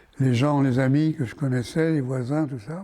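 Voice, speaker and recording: Very slow speech in a dark, mellow tone, its pitch varying in an ordinary way. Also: man. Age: 80s+. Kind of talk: interview answer.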